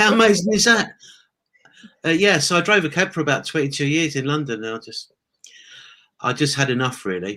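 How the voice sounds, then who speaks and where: Bright, sharp speech in an English accent, fairly quick yet broken by long, frequent pauses, with very wide pitch swings. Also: man, fairly high pitch for a man. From England. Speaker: former taxi driver, online entrepreneur. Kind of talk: interview.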